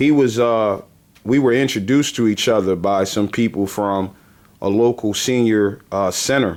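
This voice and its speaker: This man has a plain, everyday voice with a medium pitch. He speaks at a fairly slow pace with ordinary pitch variation. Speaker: homeowner advocacy organization founder. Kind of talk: interview host talk.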